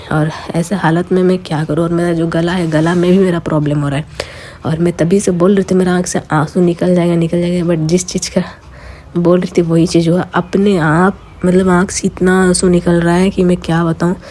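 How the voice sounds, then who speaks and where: Against noticeable background noise, a woman with a fairly low pitch talks at a moderate pace in a monotone, flat intonation. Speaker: lifestyle vlogger. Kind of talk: casual vlog talk.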